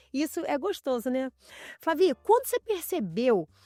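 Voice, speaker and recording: Over music in the background, a woman talks at a moderate pace in a high pitch with very wide pitch swings, the sound dry and close with no echo. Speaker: podcast host and image consultant. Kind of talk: casual interview chat.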